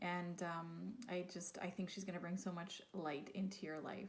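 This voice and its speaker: A woman speaks at a fairly slow pace in a somewhat breathy voice with a dark, mellow tone. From Quebec. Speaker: podcast host. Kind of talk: podcast intro monologue.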